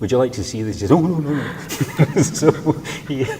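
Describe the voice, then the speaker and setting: A man talking at a very fast pace amid audible room echo and noticeable background noise. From Scotland, Glasgow. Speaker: poet. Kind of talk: interview. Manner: halting.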